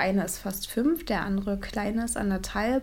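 A woman talks in a plain, everyday voice at medium pitch, with ordinary pitch variation. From Brandenburg, Cottbus. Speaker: photographer and mother. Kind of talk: casual chat.

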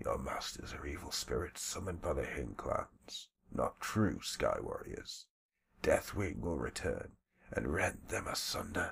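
Using a raspy, put-on character voice, a man talks at a fairly slow pace. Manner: defiant, prophetic.

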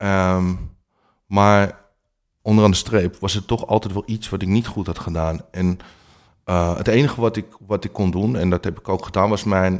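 A man's fairly low voice, fairly even in intonation and moderate in pace, on a very clean recording with a silent background. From Amsterdam, Netherlands. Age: 40s. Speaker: life coach with lived experience of infidelity. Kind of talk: interview testimony. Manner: hesitant, many filler sounds.

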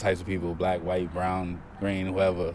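Against noticeable background noise and audible room echo, a man speaks at a moderate pace in a very deep, low pitch with monotone, flat intonation. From Brooklyn, New York. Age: 30s. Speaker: bar manager and security. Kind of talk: interview testimony. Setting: bar.

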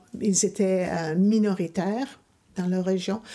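In a very clean recording with a silent background, a woman with a dark, mellow tone speaks very slowly at a medium pitch, her intonation monotone and flat. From Ontario, Canada (Ottawa, Hamilton). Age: 60s. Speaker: interviewee, mother. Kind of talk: interview.

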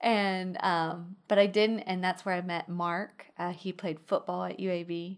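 A woman with a Texan accent, medium-pitched and monotone with flat intonation, at a fairly slow pace with hardly any pauses. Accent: Texan US Southern. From Texas, Midland. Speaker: pastor's wife. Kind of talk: casual chat. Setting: in-person studio office.

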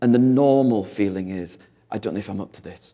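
Ordinary pitch variation and a dark, mellow tone mark this man's voice, heard with a northern English accent. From northern England, industrial town. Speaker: visiting preacher. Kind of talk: sermon.

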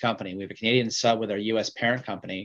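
Against a quiet background, a man speaks at a very fast pace in a medium pitch with fairly even intonation. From Vancouver, western Canada. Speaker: mining company CEO. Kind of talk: interview.

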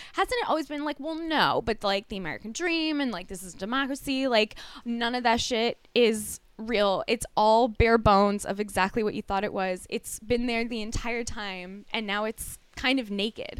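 A woman in an ordinary speaking voice talks at a moderate pace with hardly any pauses, her fairly high pitch showing ordinary variation. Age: 40s. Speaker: comedian and podcast co-host. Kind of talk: casual chat.

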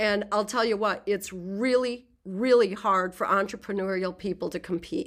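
A woman with an unremarkable speaking voice talks at a medium pitch and a moderate pace, with ordinary pitch variation and hardly any pauses, in a very clean recording with a silent background. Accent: American. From US Midwest, rural southwest Minnesota. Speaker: jazz composer and orchestra leader. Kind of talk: interview conversation.

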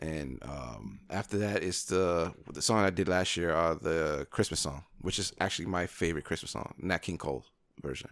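With a very deep, low pitch and vocal fry, a man talks at a moderate pace with ordinary pitch variation and hardly any pauses. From Brooklyn, New York. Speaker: singer and podcast co-host. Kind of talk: casual chat.

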